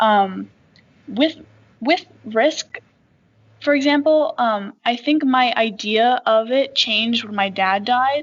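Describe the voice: A woman speaks at a slow pace. Her pitch sits fairly high and varies in an ordinary way.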